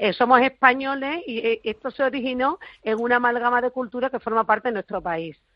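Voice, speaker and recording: A woman is talking at a moderate speed. Her voice sits high. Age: 40s. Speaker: flamenco expert and author. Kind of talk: interview. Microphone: connection problems.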